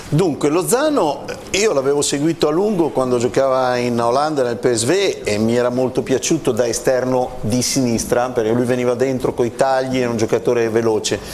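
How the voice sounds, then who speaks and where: Over light background noise, a man speaks at a fairly quick pace with ordinary pitch variation. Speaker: sports journalist. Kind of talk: studio football talk show. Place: studio. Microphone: lapel.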